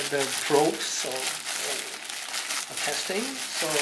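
A man speaks over loud background noise. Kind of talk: casual unboxing vlog chat. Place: home room.

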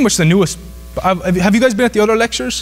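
A man speaks with a southwest Irish accent. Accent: Irish (southwest, Kerry). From Ireland. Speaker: business professor. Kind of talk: lecture. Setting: stage with audience. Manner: fast talker. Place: hall.

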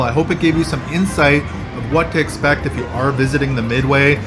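Clear music can be heard behind the voice. The man talks fairly quickly. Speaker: travel vlogger. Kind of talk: tour commentary. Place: hall. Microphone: phone near.

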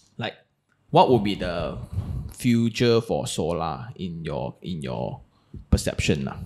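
Very deep, low male voice with a Malaysian accent, very slow pace, vocal fry, very wide pitch swings and big swings in loudness, in a quiet background. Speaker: podcast host. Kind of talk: casual interview. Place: studio. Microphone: studio mic.

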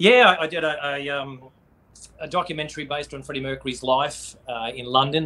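A man's fairly high-pitched, fairly quick speech in an Australian accent. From Queensland, Australia. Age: 30s. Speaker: tribute band frontman; interview guest. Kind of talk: casual chat. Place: home room. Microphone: video call.

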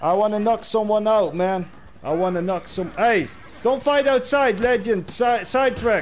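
A man's high-pitched voice at a moderate pace, with ordinary pitch variation and light background noise. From Netherlands. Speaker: gaming streamer. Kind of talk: livestream gameplay chat. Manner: animated.

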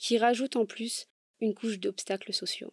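Her fairly high-pitched voice has a dark, mellow tone at a moderate pace. The sound is dry and close, with no echo. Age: 20s. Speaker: podcaster. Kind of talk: personal testimony monologue.

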